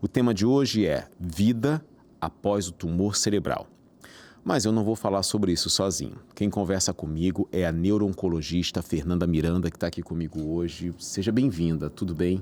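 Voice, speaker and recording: In a Rio de Janeiro accent, a man speaks at a very deep, low pitch. His pace is moderate, with ordinary pitch variation. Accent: carioca chiado. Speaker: podcast host. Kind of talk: interview podcast.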